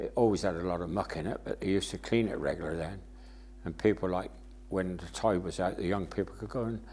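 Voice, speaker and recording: A man with a West Country accent talks at a fairly quick pace with lively intonation. His very deep, low voice carries vocal fry. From Somerset, England (Burnham-on-Sea). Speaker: local resident sharing memories. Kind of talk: oral history interview. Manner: halting.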